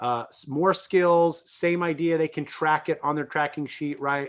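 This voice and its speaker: A man speaks with a fairly high pitch. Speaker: music teacher, band director. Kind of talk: screen-share tutorial. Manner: fast; halting, with fillers and restarts.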